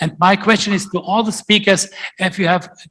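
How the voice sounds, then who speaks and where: A man's raised, projected voice comes through at a high pitch. His tone is bright and sharp. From Germany. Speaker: conference moderator, professor. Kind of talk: conference panel discussion.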